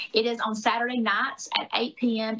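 Speaking with a Southern US accent, a woman uses a fairly high pitch and ordinary pitch variation. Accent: Southern US (Georgia). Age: 40s. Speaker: former gubernatorial candidate and podcaster. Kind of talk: interview. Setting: video call.

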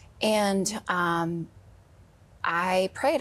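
Somewhat breathy, a woman with an American accent speaks at a medium pitch with lively intonation. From Wisconsin. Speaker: guest sharing grief story. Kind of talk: testimony. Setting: studio.

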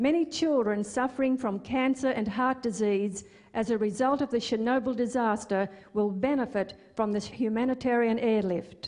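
A woman's ordinary speaking voice, fairly high in pitch, with ordinary pitch variation, a moderate pace, and very even loudness. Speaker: ministry worker. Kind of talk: scripted narration.

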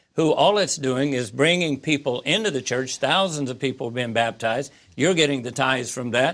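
A man with an American accent and an ordinary speaking voice talks at a fairly high pitch with ordinary pitch variation. The background is quiet. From US Midwest, Southern Illinois. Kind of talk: interview testimony.

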